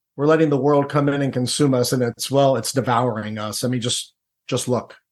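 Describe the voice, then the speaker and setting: A man speaks at a moderate pace with a Midwestern American accent. His pitch varies in an ordinary way. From Ohio, Cincinnati. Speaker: former Navy SEAL and author. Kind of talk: podcast interview.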